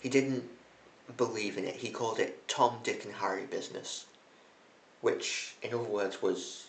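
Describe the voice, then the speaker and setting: The speech moves at a moderate pace. Audible room echo and light background noise are present. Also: man. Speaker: history video host. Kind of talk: casual history commentary. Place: home room. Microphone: phone near.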